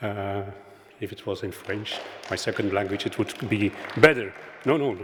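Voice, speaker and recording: A man with a Flemish accent speaks over noticeable background noise. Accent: Flemish Dutch. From Flanders, Belgium. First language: Dutch. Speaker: primary healthcare worker. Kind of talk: conference presentation. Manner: halting.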